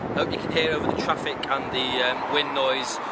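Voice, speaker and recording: Over loud background noise, the speech runs at a fairly quick pace with a dry sound and no echo. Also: man. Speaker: radio hobbyist reviewer. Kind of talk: casual vlog chat. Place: open country. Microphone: phone near.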